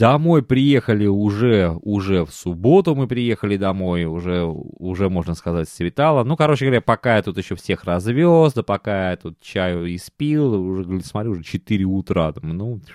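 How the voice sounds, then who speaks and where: Recorded very cleanly with a silent background and a dry, close sound with no echo, a man speaks at a moderate pace with a fairly low pitch and lively intonation. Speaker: podcast host. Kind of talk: casual monologue. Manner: animated.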